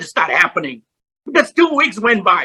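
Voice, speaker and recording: A man speaks in a raised, projected voice at an extremely high pitch, his tone bright and sharp. His intonation is lively and his pace moderate. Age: 70s. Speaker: motivational speaker. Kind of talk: motivational talk.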